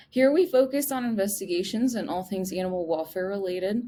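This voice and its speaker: A woman with a Chicago accent speaks in a fairly high pitch with lively intonation. The recording is very clean, the background silent. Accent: Chicago accent, slightly nasal. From US Midwest, Chicago area. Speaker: podcast host. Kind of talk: interview podcast.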